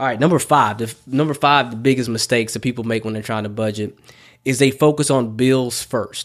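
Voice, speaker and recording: Here is a man with an ordinary speaking voice at medium pitch. The recording is very clean, with a silent background. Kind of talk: pep talk.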